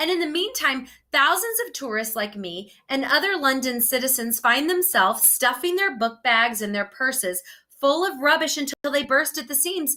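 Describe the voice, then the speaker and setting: Raising and projecting her voice, a woman with a strong American accent speaks at a moderate pace in a high, bright, sharp tone, with very wide pitch swings. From United States. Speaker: student presenter. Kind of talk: presentation.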